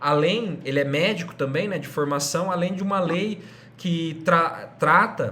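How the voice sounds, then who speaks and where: A man with a high pitch speaks at a moderate pace with ordinary pitch variation. Audible room echo surrounds his voice. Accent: interior São Paulo. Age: 30s. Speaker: teacher. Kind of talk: lecture.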